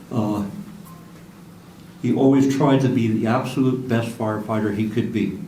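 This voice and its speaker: With an American accent, a man talks at a moderate pace and fairly even intonation in audible room echo. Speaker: career firefighter. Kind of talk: memorial speech, partly read from notes. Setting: memorial ceremony with audience. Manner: halting, with stutters.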